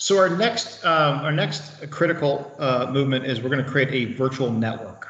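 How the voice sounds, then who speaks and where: Noticeable background noise sits under a man speaking at a moderate pace with a fairly high pitch. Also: ordinary pitch variation. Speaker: IT trainer. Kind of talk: tutorial.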